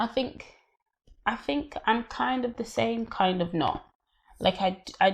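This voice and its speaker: A somewhat breathy woman's voice, fairly slow, with lively intonation. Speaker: podcast host. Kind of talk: casual chat.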